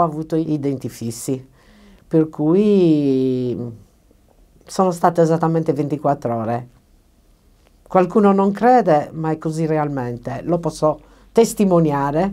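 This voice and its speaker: Against a quiet background, a woman with a very deep, low pitch speaks very slowly, her intonation lively and her pauses long and frequent. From Sardinia, Cagliari. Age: 60s. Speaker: dental patient. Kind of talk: testimony. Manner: hesitant, many fillers. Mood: grateful, warm. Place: studio.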